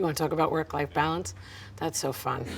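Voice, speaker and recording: A woman with a New York accent talks at a fairly low pitch. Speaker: business owner and consultant. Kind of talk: interview answers. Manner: direct, loud-seeming.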